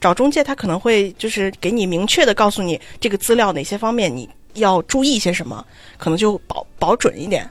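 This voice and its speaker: Intonation here is lively. It is an ordinary speaking voice. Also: woman. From China, Xi'an. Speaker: graduate student abroad. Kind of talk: casual chat.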